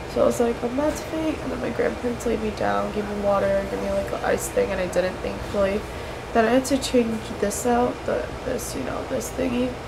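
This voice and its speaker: A woman talks at a fairly quick pace while loud background noise plays behind her. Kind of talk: casual vlog chat. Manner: tired, blocked-nose speech. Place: home room. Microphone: webcam.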